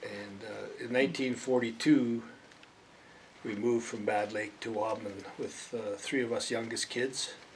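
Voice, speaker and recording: A man with a western Canadian accent speaks at a fairly slow pace, his medium-pitched voice keeping fairly even intonation. Noticeable background noise runs under the recording. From Alberta, Canada. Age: 70s. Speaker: local resident interviewee. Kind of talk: oral history interview. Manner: hesitant, many fillers.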